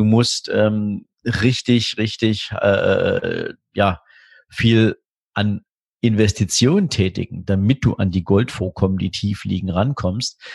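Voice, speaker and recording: A man with a fairly low, somewhat breathy voice speaks very slowly with fairly even intonation. The sound is dry and close with no echo, against a quiet background. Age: 40s. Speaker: wealth manager. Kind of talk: podcast interview.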